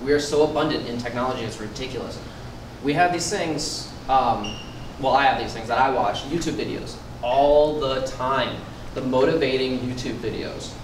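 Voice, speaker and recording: Noticeable background noise and audible room echo surround a man's voice. He speaks at a medium pitch with fairly even intonation. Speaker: personal trainer giving a workshop. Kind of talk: motivational workshop talk. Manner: fast.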